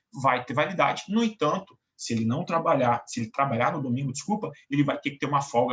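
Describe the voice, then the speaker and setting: A man has a plain, everyday voice, pitched fairly high. He talks at a fairly quick pace with lively intonation. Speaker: law professor. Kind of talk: lecture. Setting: online class recording.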